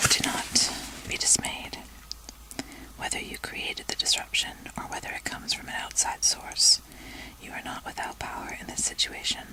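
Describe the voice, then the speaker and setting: A woman's whisper at a moderate pace, with big swings in loudness, long and frequent pauses, and noticeable background noise. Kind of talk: rune reading, relaxation. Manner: whispered, soft.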